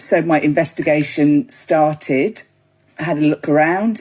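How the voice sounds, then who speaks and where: Against a quiet background, a woman with a British accent speaks at a moderate pace in a fairly low pitch. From UK. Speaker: gin writer and website founder. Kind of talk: podcast interview. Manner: casual, many fillers.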